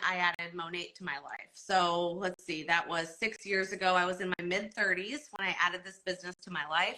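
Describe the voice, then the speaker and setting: A woman talks in an ordinary speaking voice at a moderate pace, with fairly even intonation, big swings in loudness and hardly any pauses. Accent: American. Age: 40s. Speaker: network marketer. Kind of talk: live stream talk. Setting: Instagram live.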